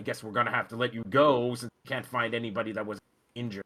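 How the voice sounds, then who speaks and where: In a raspy, put-on character voice, a man talks at a very fast pace and a medium pitch, his intonation monotone and flat while his loudness swings widely. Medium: actual play. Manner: dour, suspicious.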